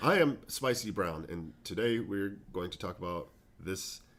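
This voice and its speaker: Putting on a raspy character voice with a fairly low pitch, a man speaks at a moderate pace with lively intonation and big swings in loudness. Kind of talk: formal broadcast. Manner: fake newscaster voice.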